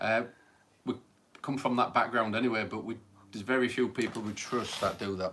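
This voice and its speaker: A man speaks fairly quickly at a medium pitch in a flat monotone. He leaves long, frequent pauses. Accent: Hull. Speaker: paranormal livestream host. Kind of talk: casual chat.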